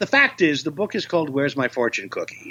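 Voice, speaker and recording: With very wide pitch swings, a man speaks in a bright, sharp tone. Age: 70s. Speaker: voice actor and comedian. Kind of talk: interview.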